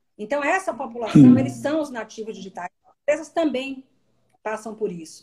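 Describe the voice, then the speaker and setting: This is a woman's voice. Her pitch is high. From Bahia, Brazil (Salvador). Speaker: HR executive. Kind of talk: live-stream interview.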